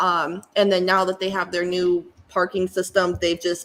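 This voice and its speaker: The voice belongs to a woman with an American accent. Behind her, background noise is noticeable. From Lansing, Michigan. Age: 20s. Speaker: small business owner and maker. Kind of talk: interview answer.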